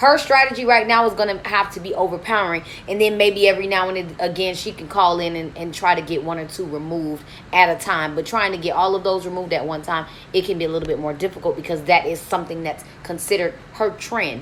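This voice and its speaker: Over noticeable background noise, a woman talks at a very fast pace in an animated tone, medium in pitch with ordinary pitch variation. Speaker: credit repair coach. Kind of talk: live stream Q&A. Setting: hotel room live stream. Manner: loud.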